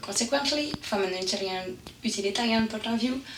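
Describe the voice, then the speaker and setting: Over noticeable background noise, a woman speaks in a French accent with ordinary pitch variation. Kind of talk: educational presentation narration.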